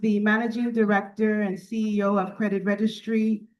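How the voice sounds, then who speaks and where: A woman with an American accent speaks at a moderate pace and a fairly high pitch. Hers is an unremarkable speaking voice. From United States. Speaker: business executive and conference speaker. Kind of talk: formal keynote speech. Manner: formal.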